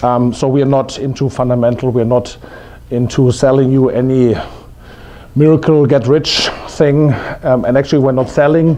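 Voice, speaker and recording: Speaking with a German accent at a moderate pace, a man keeps a medium pitch, monotone, flat intonation and very even loudness, with audible room echo and noticeable background noise. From Germany. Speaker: investment strategy presenter. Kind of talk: conference presentation. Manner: halting, many fillers.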